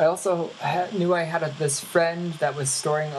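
Noticeable background noise sits behind a woman whose voice is very deep and low. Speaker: previous guest calling in.

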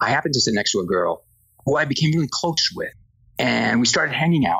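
Speaking at a very fast pace, a man talks with a Spanish accent. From Spain. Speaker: entertainment industry executive. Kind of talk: interview.

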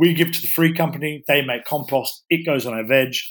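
At a moderate pace, a man with a normal speaking voice talks in a fairly high pitch with fairly even intonation. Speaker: chef. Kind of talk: casual interview chat.

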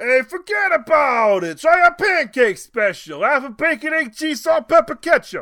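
A high-pitched put-on character voice in a Jersey accent runs at a moderate pace with hardly any pauses. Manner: brusque, dismissive.

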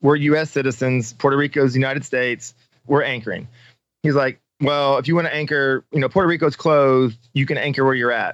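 A man with an American accent and a normal speaking voice talks at a fairly high pitch and a fairly quick pace with fairly even intonation. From Missouri. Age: 40s. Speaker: off-road racer and military veteran. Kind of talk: casual interview.

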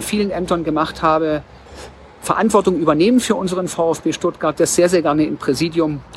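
A man with a high voice talks at a fairly quick pace. His pitch varies in an ordinary way, with noticeable background noise behind him. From Swabia, Germany (Tübingen). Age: 40s. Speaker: bookstore executive and club board candidate. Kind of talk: campaign statement.

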